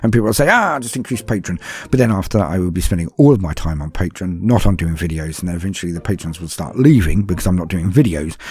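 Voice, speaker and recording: A man with a very deep, low voice talks at a very fast pace, barely pausing, with lively intonation. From London (Cockney). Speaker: YouTuber and podcaster. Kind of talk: Q&A session answering patron questions. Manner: calm, formal.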